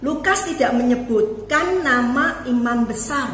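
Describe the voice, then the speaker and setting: Over noticeable background noise and audible room echo, a woman talks at a very slow pace in a fairly high pitch with lively intonation. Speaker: preacher and teacher. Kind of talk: sermon. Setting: online family worship video.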